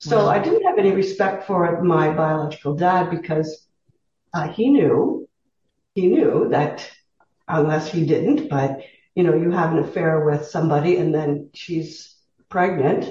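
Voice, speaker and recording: A woman with a Canadian accent talks at a fairly slow pace in a fairly low, somewhat breathy voice. Her pitch varies in an ordinary way. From Southern Ontario, Canada. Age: 60s. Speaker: retired teacher, interview guest. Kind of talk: casual interview.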